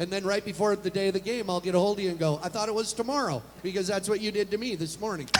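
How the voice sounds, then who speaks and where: Over noticeable background noise, a man talks at a very fast pace with hardly any pauses, his high pitch showing ordinary variation. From Wyoming. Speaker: talk show host. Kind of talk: casual chat.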